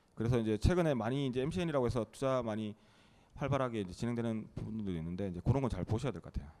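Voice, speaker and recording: A man talks at a very fast pace with lively intonation. His voice sits at medium pitch with a dark, mellow tone. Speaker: startup CEO. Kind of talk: interview.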